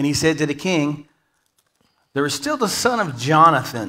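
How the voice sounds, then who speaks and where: A man's bright, sharp tone at a fairly slow pace against a quiet background. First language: English (speaking Spanish). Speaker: guest preacher. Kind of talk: sermon. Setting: church. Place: church.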